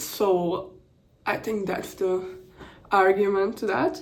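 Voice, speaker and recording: Someone with a non-native accent speaks very slowly, and the room echo is audible. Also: woman. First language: not English. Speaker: content creator. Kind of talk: casual vlog commentary. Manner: halting, many restarts and fillers.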